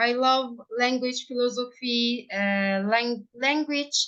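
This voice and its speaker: A woman with a Turkish accent speaks in a high voice against a quiet background. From Turkey, Ankara. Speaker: primary school English teacher. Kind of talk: interview. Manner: halting.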